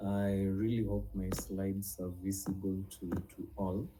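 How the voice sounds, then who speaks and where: A man at a fairly slow pace amid audible room echo, with music in the background. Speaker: nutrition and herbal medicine teacher. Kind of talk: online class lecture. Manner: hesitant, many fillers.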